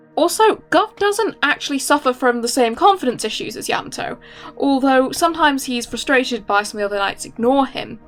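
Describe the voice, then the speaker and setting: Very wide pitch swings over music in the background. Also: woman, high pitch for a woman. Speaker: comic artist. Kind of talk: casual voice-over commentary.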